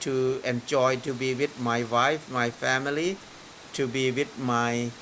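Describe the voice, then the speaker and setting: Very slowly, a man speaks over noticeable background noise. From northeastern Thailand. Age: 60s. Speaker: farmer. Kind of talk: interview. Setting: outdoors in rain.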